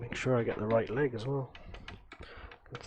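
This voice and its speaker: The voice is loud, with noticeable background noise behind it. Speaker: retro computer hardware modder. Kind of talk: live stream hardware tutorial. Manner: thinking aloud, halting; trying to keep voice loud.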